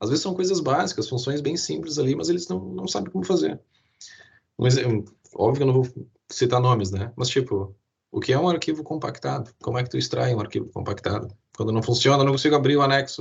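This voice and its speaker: Very fast speech from a man at medium pitch, lively intonation and vocal fry throughout. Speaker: IT security presenter. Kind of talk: webinar presentation. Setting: online live stream.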